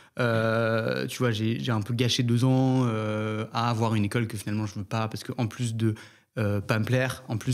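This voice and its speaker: The voice is a man's. Everything he says stays monotone and flat. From Algeria, Algiers. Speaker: podcast host, business student. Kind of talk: podcast interview. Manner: hesitant, filler-heavy.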